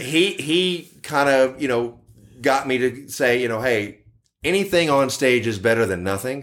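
A man in a Texan accent talks at a moderate pace. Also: medium pitch for a man, lively intonation. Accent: Texan American. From Texas, Dallas. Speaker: tribute band guitarist. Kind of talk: casual interview.

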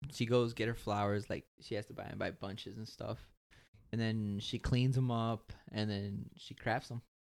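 In a plain, everyday voice, a man with an American accent speaks at medium pitch and a moderate pace. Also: fairly even intonation. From Chicago, Archer Heights. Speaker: guest, new father. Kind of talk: casual chat.

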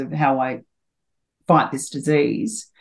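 A woman talks with an Australian accent. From Australia, New South Wales country (Taree). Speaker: former jockey and HR consultant. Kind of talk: interview.

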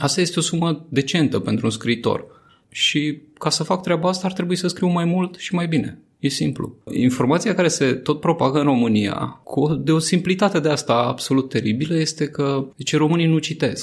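A man speaks at a moderate pace in an ordinary speaking voice, fairly high-pitched, with ordinary pitch variation. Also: very even loudness. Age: 30s. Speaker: journalist and satirical writer. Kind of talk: casual interview.

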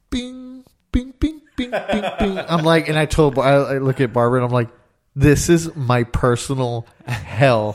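A man with a normal speaking voice, fairly high pitch, lively intonation and a fairly slow pace. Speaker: podcast co-host. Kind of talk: casual chat.

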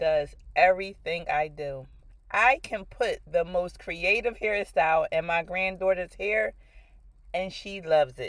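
A woman's plain, everyday voice at medium pitch, fairly slow and with ordinary pitch variation, big swings in loudness, on a very clean recording with a silent background. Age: 40s. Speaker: podcast host and author. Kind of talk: podcast monologue.

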